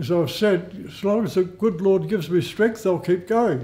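A man with an Australian accent, high pitch, dark, mellow tone, ordinary pitch variation and moderate pace. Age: 80s+. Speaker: Salvation Army bandsman. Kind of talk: interview answer. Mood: proud, earnest. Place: home room.

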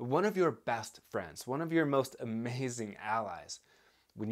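A man's speech shows ordinary pitch variation, and the background is quiet. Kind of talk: educational talk to camera. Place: home room.

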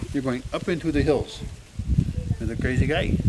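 A man speaks with a dark, mellow tone and big pitch swings. Faint background noise sits behind him.

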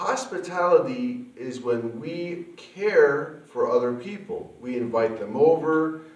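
A man speaks at a very slow pace. Room echo can be heard around him. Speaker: puppet ministry host. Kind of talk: children's ministry lesson talk. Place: home room.

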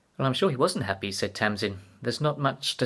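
This is someone reading aloud. They use a natural voice.

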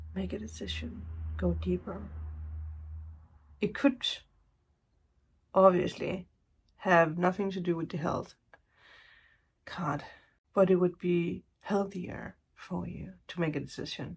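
Her loudness swings widely as a woman talks at a fairly slow pace, leaving long, frequent pauses. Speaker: tarot reader. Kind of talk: casual reading commentary. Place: home room. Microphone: phone near.

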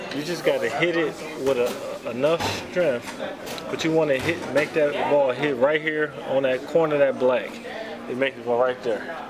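A man at a moderate pace with noticeable background noise. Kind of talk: casual chat. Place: hall.

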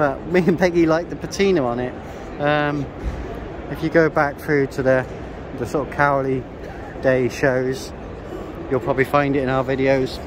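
With a British accent, a man speaks at a moderate pace and fairly high pitch, using fairly even intonation and long, frequent pauses against noticeable background noise. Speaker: classic vehicle vlogger. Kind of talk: casual walkthrough vlog. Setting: busy exhibition hall at a classic car show.

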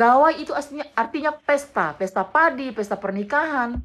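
Lively intonation marks this woman's high-pitched voice. She moves at a moderate pace. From West Kalimantan, Indonesia (Dayak, Sanggau); West Kalimantan, Indonesia. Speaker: vlogger. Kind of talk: response video monologue. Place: home room. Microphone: phone near.

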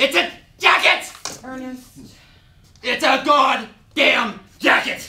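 A woman's high-pitched, shouting put-on character voice at a very slow pace, with slight echo. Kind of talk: stage drama dialogue. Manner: shouting in anger. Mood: angry, exasperated shouting.

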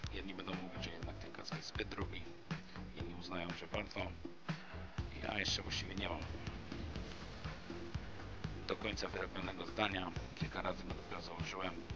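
Fairly quick speech with clear music in the background. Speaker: scooter vlogger. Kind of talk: product review vlog chat. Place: open country. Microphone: camera far.

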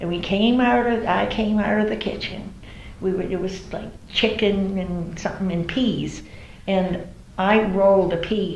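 In a New England accent, a woman speaks at a fairly slow pace with fairly even intonation, with audible room echo and light background noise. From New Bedford, Massachusetts. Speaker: oral history interviewee. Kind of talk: oral history interview answer. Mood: warm, reminiscing. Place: home room.

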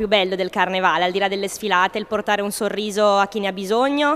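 Fairly quick speech from a woman. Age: 20s. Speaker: carnival queen. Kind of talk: interview. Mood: cheerful, smiling. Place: hall. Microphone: handheld.

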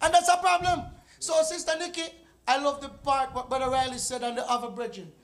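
A man talks at a fairly quick pace. His pitch is extremely high, with ordinary pitch variation. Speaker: preacher; evangelist teaching a lesson. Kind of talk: church Bible study discussion. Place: church. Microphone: handheld.

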